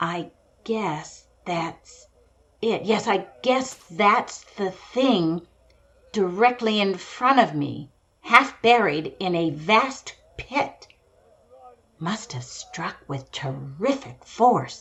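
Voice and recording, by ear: Putting on a character voice, a woman speaks very slowly at a medium pitch with a fairly bright tone, lively intonation and audible room echo.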